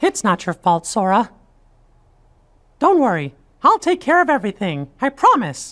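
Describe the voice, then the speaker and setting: A female-sounding, put-on character voice moves at a moderate pace with long, frequent pauses. Its fairly high pitch makes very wide swings. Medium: video game. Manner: earnest, upbeat.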